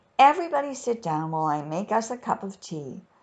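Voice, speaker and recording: A woman speaks in a put-on character voice at medium pitch, her pitch swinging very widely at a very fast pace. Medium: read story. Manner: sighing.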